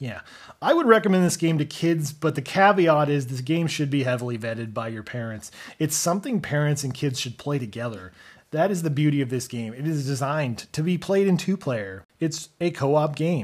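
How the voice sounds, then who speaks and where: A man with a fairly high pitch and a somewhat breathy voice talks at a fairly quick pace with lively intonation, in a very clean recording with a silent background. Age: 30s. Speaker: podcast host and father. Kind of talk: casual game review podcast. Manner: hesitant with frequent fillers.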